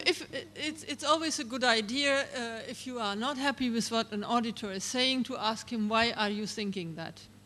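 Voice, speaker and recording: A German accent at a moderate pace, with noticeable background noise. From Germany. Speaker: regulatory expert speaker. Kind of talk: Q&A answer at a seminar.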